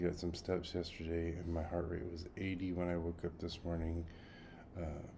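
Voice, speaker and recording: A man speaks at a moderate pace in a very deep, low voice with a dark, mellow tone. His delivery is somewhat breathy, and there is audible room echo. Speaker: health journey vlogger. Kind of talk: casual video diary. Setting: at home. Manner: quiet.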